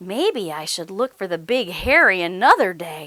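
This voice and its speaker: A woman puts on a character voice at a medium pitch, talking at a moderate pace. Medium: read story.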